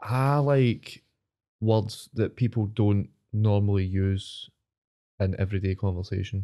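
With a Scottish accent, the voice moves at a fairly slow pace with long, frequent pauses, a dark, mellow tone, ordinary pitch variation and very even loudness, in a very clean recording with a silent background. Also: man, fairly low pitch for a man. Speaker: podcast host. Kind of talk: casual banter chat. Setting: studio. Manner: jokey, chatty, overlapping.

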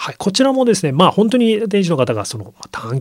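A man talks very fast, his pitch swinging very widely. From Yokohama, Japan. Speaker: magazine editor-in-chief. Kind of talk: radio interview. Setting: radio studio.

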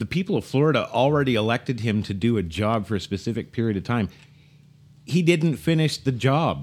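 At a moderate pace and medium pitch, a man speaks with lively intonation on a very clean recording with a silent background. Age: 50s. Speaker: political talk show co-host. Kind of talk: casual political talk show. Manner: halting, repeats words.

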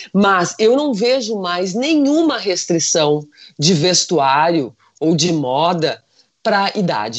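A woman with a medium-pitched voice makes very wide pitch swings. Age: 50s. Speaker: fashion consultant. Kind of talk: casual chat.

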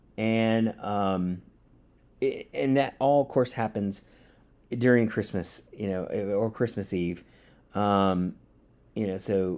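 A man speaks at a fairly slow pace in a fairly low pitch, his tone dark and mellow with ordinary pitch variation. The recording is very clean with a silent background. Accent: American. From US South, Georgia. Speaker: podcast host. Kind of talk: casual monologue. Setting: home studio. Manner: hesitant, many fillers.

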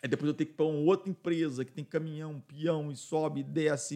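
A man's fairly high voice with a dark, mellow tone at a very fast pace. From Minas Gerais, Brazil. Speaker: business owner, radio station director. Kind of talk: casual interview.

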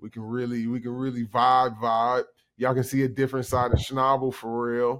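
Moderately paced speech with an American accent and monotone, flat intonation on a very clean recording with a silent background. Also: man. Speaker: podcast co-host. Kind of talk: casual chat.

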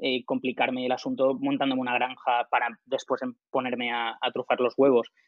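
A man talks at a fairly quick pace. His medium-pitched voice is monotone and flat. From Alicante, Spain. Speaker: startup founder. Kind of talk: interview.

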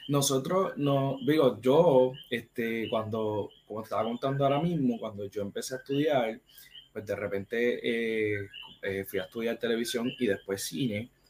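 A man with a Puerto Rican accent talks at a fairly slow pace and a medium pitch. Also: ordinary pitch variation. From Puerto Rico, Caguas. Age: 30s. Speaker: film critic and producer. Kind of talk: casual interview chat.

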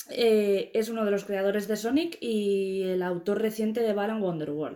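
Her voice has a dark, mellow tone, and this woman pitches it fairly high. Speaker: podcast co-host and editor. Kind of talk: casual chat.

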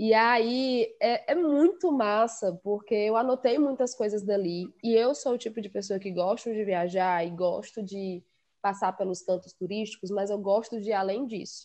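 A woman with a plain, everyday voice speaks at a fairly slow pace with hardly any pauses and fairly high pitch. Her pitch moves in an ordinary way over a quiet background. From Ceará backcountry, Quixadá. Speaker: podcast guest, literature lover. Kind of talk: casual chat.

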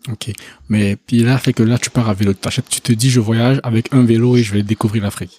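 A man's dark, mellow voice at medium pitch, monotone and flat, at a moderate pace. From Côte d'Ivoire. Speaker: podcast host. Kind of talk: casual interview.

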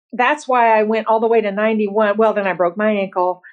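Speaking at a moderate pace, a woman has a normal speaking voice with a fairly high pitch. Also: quiet background. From Bloomington, Indiana. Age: 60s. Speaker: masters bodybuilder and office professional. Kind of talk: casual interview.

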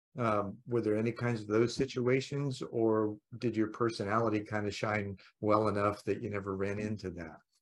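A man speaks in a plain, everyday voice at a fairly low pitch and a moderate pace. His intonation stays fairly even, and the background is quiet. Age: 60s. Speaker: podcast host. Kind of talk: casual interview conversation.

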